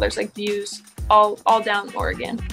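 A woman is speaking. Faint music plays behind her. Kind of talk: interview answer. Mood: relaxed, laughing. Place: garage. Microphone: phone near.

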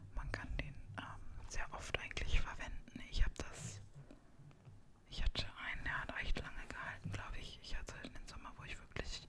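A woman is whispering at a moderate pace. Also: big swings in loudness. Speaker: ASMR creator. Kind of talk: casual talk to camera. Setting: home, with a puppy making noise in the background. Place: home room.

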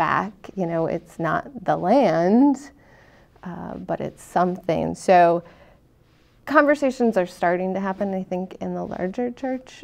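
The speaker talks fairly slowly with lively intonation and big swings in loudness. Long pauses come frequently. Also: woman. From Nebraska. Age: young. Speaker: pastor. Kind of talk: interfaith panel discussion. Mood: thoughtful, earnest. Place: studio. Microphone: lapel.

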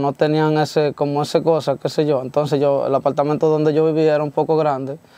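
A man's fairly high voice with a dark, mellow tone, moderate pace, and dry sound with no echo. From Dominican Republic, Baní (Peravia); Dominican Republic. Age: young. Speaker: corrido singer; interviewee. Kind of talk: interview. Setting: studio. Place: studio.

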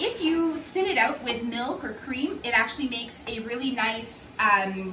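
A bright, sharp tone at a fairly slow pace, with audible room echo. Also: woman, fairly high pitch for a woman, ordinary pitch variation.

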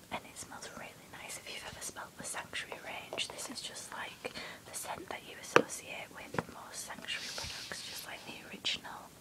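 A soft-spoken whisper at a moderate pace over loud background noise. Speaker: haul vlogger. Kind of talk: casual unboxing chat. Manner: soft ASMR whisper. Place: home room. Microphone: phone near.

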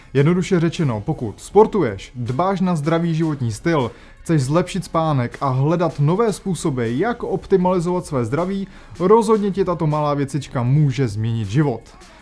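Faint music sits in the background while this man speaks at a moderate pace. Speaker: tech reviewer. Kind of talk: scripted tech explainer to camera. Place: home room.

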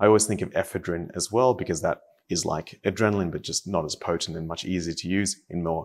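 A man with a very deep, low pitch at a very fast pace. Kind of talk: tutorial. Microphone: phone near.

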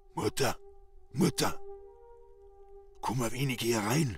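A put-on character voice, raspy and at a fairly slow pace, comes through clear background noise. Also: man, medium pitch for a man. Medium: audio drama. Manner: soft, drawn-out.

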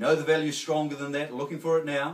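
A man speaks at a very fast pace. His voice is fairly high-pitched. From New Zealand. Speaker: auctioneer. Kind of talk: real estate auction call. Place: home room. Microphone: camera far.

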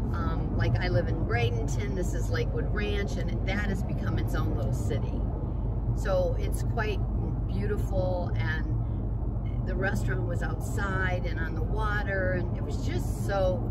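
The background noise is loud. Over it, a woman talks at a fairly slow pace. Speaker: vlogger. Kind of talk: casual vlog chat. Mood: relaxed, chatty. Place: car. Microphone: phone near.

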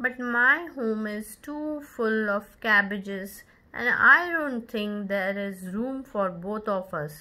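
The speaker reads aloud using a natural voice.

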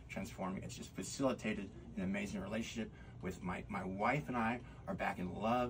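Over light background noise, a man talks at a fairly quick pace with a fairly low pitch. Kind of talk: interview answer. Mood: upbeat, grateful, heartfelt. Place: studio.

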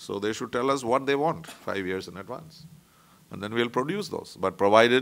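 A man speaks with an Indian accent. His pitch rises and falls in an ordinary way. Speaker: diplomat; guest, panelist. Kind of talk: talk; panel talk, lecture. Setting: conference room. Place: meeting room. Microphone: podium.

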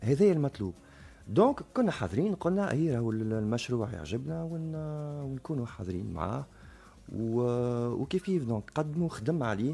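Talking at a fairly slow pace, a man uses a medium-pitched voice with a dark, mellow tone and very wide pitch swings. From Tunisia. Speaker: book publisher; radio guest. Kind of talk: radio interview. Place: studio. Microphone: studio mic.

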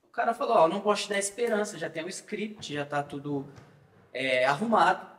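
A man's high-pitched voice with lively intonation at a moderate pace, with audible room echo. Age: 20s. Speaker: political activist. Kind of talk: casual chat. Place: studio.

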